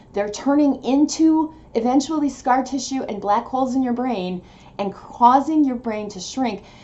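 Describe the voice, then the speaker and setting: With lively intonation and a high pitch, a woman talks at a moderate pace against noticeable background noise. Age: 50s. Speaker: video blogger with multiple sclerosis. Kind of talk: casual vlog monologue. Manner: halting, loses track.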